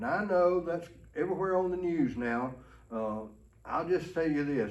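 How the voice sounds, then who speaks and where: Delivered at a moderate pace, the speech has lively intonation, and audible room echo surrounds it. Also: man. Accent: Alabama. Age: 60s. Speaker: pastor. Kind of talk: ministry training talk. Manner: folksy, conversational.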